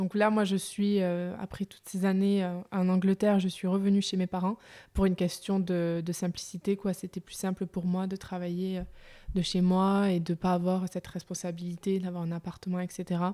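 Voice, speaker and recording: A woman speaks at a moderate pace with a medium pitch, a dark, mellow tone and monotone, flat intonation. The recording is very clean with a silent background and a dry, close sound with no echo. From France, Aveyron. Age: 20s. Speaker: young entrepreneur. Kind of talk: interview. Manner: hesitant, many fillers.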